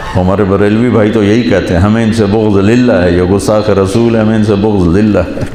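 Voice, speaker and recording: The voice is monotone, with flat intonation and very even loudness. Noticeable background noise runs underneath. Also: man, fairly low pitch for a man. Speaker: Islamic scholar. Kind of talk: religious sermon.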